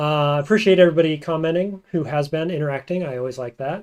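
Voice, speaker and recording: Talking at a very fast pace, a man with an American accent uses a fairly high voice. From United States. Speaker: gaming streamer. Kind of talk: live game stream commentary. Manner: casual, conversational.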